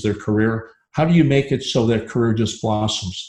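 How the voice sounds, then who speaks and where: At a moderate pace, a man talks in a dark, mellow tone that is somewhat breathy, keeping his intonation fairly even. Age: 70s. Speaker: dental consultant and speaker. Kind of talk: live interview.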